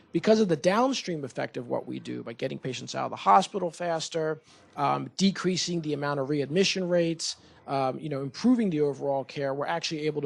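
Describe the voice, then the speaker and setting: In a very clean recording with a silent background, a man talks at a very fast pace with a fairly high pitch and ordinary pitch variation. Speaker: surgeon, urology division chief. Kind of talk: presentation to community board. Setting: meeting room with audience and microphone. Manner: loud.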